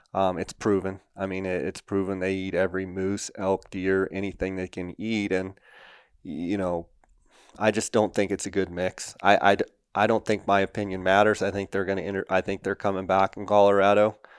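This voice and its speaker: On a very clean recording with a silent background and a dry, close sound with no echo, a man speaks at a fairly quick pace with a fairly low pitch and monotone, flat intonation. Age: 40s. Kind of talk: interview.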